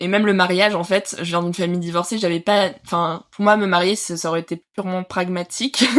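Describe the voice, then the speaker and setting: A woman talks at a fairly quick pace in a medium pitch with fairly even intonation. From southern France, Nice. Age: 30s. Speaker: mother sharing birth story. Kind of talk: interview testimony. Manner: hesitant, many filler sounds.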